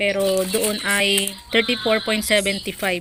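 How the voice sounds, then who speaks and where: A woman speaks at a medium pitch with monotone, flat intonation. Noticeable background noise sits behind her. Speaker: vlogger and sari-sari store owner. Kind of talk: casual vlog.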